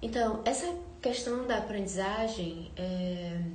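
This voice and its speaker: Soft-spoken, a woman speaks with ordinary pitch variation. Audible room echo and noticeable background noise are present. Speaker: content creator on self-awareness and architecture. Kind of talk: live stream talk. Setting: live stream.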